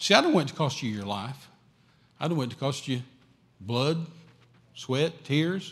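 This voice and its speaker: A man with a Texan accent speaks at a moderate pace, somewhat breathy, with ordinary pitch variation. The recording is very clean, with a silent background. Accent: Texan Southern US. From West Texas. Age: 60s. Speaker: traveling evangelist. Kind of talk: sermon. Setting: church. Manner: animated.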